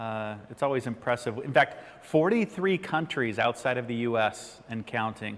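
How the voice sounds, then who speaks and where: Speaking with an American accent, a man keeps a moderate pace and medium pitch with hardly any pauses. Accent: flat American. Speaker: ladder safety workshop presenter. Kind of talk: online workshop presentation. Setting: studio.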